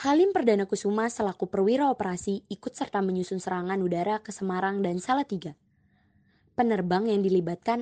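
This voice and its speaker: A woman speaks at a very fast pace with a medium pitch, ordinary pitch variation and a dark, mellow tone, and the sound is dry and close with no echo. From Jakarta. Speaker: podcast co-host. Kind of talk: scripted history narration with banter. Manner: casual, upbeat.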